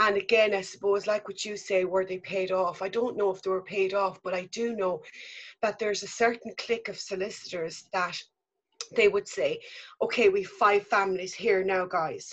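Medium-pitched woman's voice in an Irish accent, flat and monotone, at a moderate pace. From Ireland. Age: 50s. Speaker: mother telling her story. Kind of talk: testimony. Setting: remote call.

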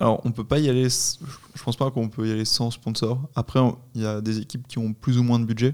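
A man with an ordinary speaking voice talks at a fairly quick pace and medium pitch, with fairly even intonation. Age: 20s. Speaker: paragliding instructor and competition athlete. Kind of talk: casual interview.

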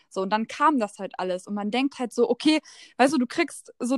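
A woman speaks at a high pitch with ordinary pitch variation and a fairly quick pace. The sound is dry and close, with no echo. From Lower Saxony, near Hannover. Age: 20s. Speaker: social media entrepreneur. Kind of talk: casual chat.

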